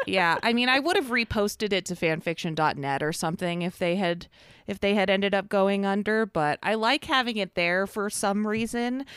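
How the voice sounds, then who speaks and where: An ordinary speaking voice from a woman at a medium pitch, moderate pace and ordinary pitch variation, with a dry, close sound with no echo and a very clean recording over a silent background. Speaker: fan fiction podcast co-host. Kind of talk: casual chat.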